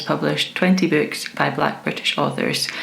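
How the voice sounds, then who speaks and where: With a Scottish accent, a woman talks at a moderate pace over noticeable background noise. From Scotland. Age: 20s. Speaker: book reviewer. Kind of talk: casual talk to camera.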